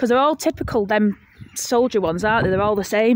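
A woman's voice comes through dry with no echo, over light background noise. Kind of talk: casual conversation while walking. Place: open country. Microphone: phone near.

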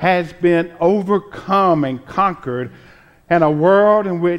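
High-pitched male speech, quiet surroundings. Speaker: preacher, reverend; preacher. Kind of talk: Easter sermon delivered to a congregation. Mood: joyful, proclaiming. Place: church. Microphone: podium.

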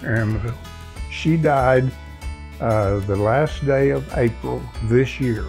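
At a very slow pace a man talks while faint music plays in the background. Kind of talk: interview answer. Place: home room. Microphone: lapel.

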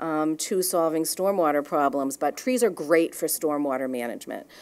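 A woman talks with a New England accent. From Boston. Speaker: watershed nonprofit director; guest. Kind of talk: conference presentation; presentation and panel discussion. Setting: live event with audience. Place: hall. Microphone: podium.

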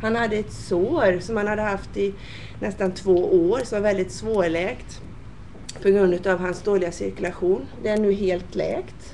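Fairly even intonation from a woman at medium pitch and a fairly slow pace, with noticeable background noise. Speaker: nurse. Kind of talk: interview.

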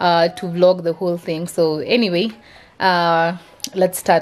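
A woman speaking at a fairly slow pace amid loud background noise. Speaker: mother vlogger. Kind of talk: casual vlog chat. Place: home room. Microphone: phone near.

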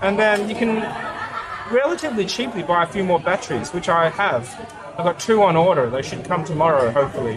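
A man speaks at a fairly quick pace in a high voice, with very wide pitch swings. There is noticeable background noise. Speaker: vlogger testing a camera. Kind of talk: casual vlog chat. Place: cafe. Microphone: phone near.

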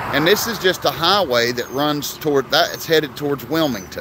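The pitch varies in an ordinary way, and the sound is dry with no echo but noticeable background noise. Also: man. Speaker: small business vlogger. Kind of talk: casual vlog chat. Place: street. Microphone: phone near.

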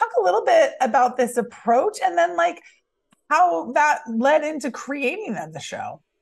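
Against a quiet background, a woman speaks at a moderate pace in an upbeat tone, her pitch swinging very widely. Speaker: interviewer. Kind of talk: interview questions. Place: home room. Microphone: video call.

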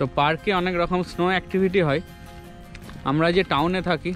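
A man speaks over clear music in the background. The sound is dry, with no echo. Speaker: travel vlogger. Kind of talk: casual vlog chat. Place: street. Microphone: phone near.

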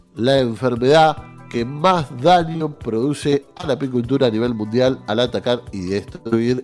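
Over faint background music, a man with a medium pitch talks fairly slowly, his pitch varying in an ordinary way. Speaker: radio news presenter. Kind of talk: radio news reading. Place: studio.

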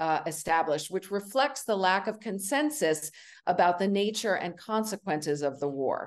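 A woman speaks in a normal speaking voice, medium in pitch, against a quiet background. Her pace is moderate and her intonation lively. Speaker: professor and panel moderator. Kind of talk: moderated panel discussion. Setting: video call.

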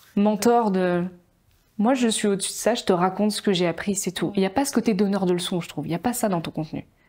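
Very fast and dark, mellow in tone, a woman speaks at a medium pitch with ordinary pitch variation. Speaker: podcast host, marketing content creator. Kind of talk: casual interview. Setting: studio with camera. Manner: animated, emotional. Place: home room. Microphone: lapel.

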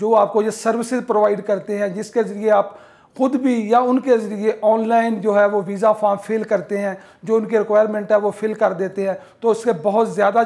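This man has a high voice and speaks at a moderate pace. His intonation is monotone and flat. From Pakistan. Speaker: YouTuber discussing migration and real estate; business coach. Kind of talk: monologue to camera. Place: home room. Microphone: lapel.

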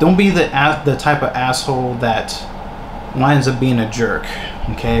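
Against noticeable background noise, a man speaks at a moderate pace with ordinary pitch variation. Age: 30s. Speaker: YouTuber. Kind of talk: vlog rant. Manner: animated. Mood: annoyed but measured. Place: home room.

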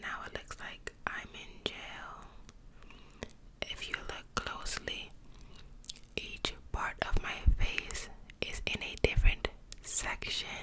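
A woman whispers at a very slow pace, with long, frequent pauses and big swings in loudness. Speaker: ASMR creator. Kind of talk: soft ASMR roleplay talk. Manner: soft, close-mic ASMR speech. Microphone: studio mic.

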